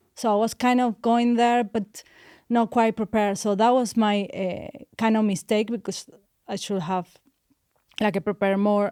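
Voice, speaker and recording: A woman with a Spanish accent, a fairly high pitch, a dark, mellow tone and fairly even intonation, with long, frequent pauses, on a very clean recording with a silent background and a dry, close sound with no echo. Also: moderate pace. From Argentina. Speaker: overseas dentist. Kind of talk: interview chat. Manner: halting.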